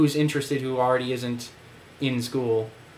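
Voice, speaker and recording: The intonation stays fairly even while room echo can be heard. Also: man. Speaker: vlogger. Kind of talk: casual monologue. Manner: halting.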